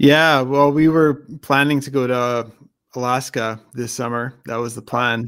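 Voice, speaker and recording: Speaking with a plain, everyday voice, a man at medium pitch goes at a fairly slow pace, his intonation fairly even and his loudness swinging a lot. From Canada. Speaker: motorcycle YouTuber. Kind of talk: casual chat. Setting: live stream video call.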